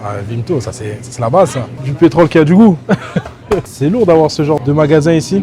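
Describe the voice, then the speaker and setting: Lively intonation and an animated tone from a man with fairly high pitch at a moderate pace, with music in the background. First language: Soninke (speaking French). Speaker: travel and food vlogger. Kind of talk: casual vlog narration.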